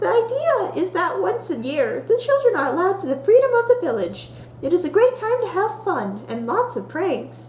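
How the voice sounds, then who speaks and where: Hardly pausing, the speaker uses a put-on character voice at an extremely high pitch. The pace is moderate, with clear background noise. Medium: solo performance. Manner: impatient, eager.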